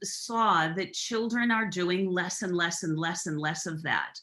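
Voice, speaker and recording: A woman with an American accent speaks at a fairly slow pace. Her tone is bright and sharp. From US Midwest, Minnesota. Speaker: childcare centre director. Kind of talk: podcast interview. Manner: repeats words when starting sentences.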